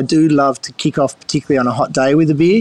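Noticeable background noise sits behind this man. He speaks at a fairly high pitch with an Australian accent. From Sydney, Australia. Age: 50s. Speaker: winemaker. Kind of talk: interview.

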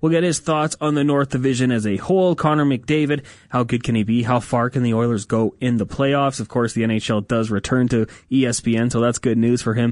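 A man with a Canadian accent speaks at a moderate pace and medium pitch, with ordinary pitch variation and very even loudness. It is an unremarkable speaking voice, heard against a quiet background. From Edmonton, Canada. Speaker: hockey podcast host. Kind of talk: casual interview.

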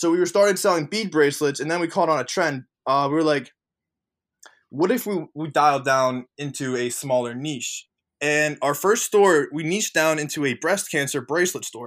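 A man has a normal speaking voice with a fairly high pitch, ordinary pitch variation and a moderate pace, in a very clean recording with a silent background. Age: 20s. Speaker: e-commerce entrepreneur and coach. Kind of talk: podcast interview.

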